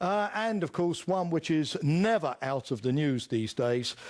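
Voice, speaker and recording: A man with a British accent talks at a fairly slow pace with lively intonation, in a very clean recording with a silent background. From United Kingdom. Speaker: lecturer on international security. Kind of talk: lecture. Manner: halting, many filler words.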